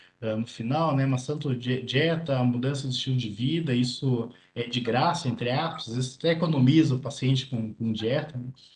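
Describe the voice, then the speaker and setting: At a moderate pace, a man speaks in a somewhat breathy voice of medium pitch with fairly even intonation. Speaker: nephrologist presenting congress highlights. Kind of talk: medical lecture. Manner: clear.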